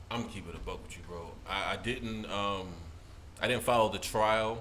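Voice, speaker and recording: A man with a fairly low voice speaks with fairly even intonation. His loudness swings widely, and room echo is audible. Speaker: podcast co-host. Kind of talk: casual chat. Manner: fast.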